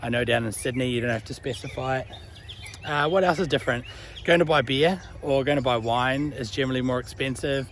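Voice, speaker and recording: With a New Zealand accent, a man speaks at a fairly quick pace and medium pitch over noticeable background noise. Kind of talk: casual talk to camera. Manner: casual, chatty.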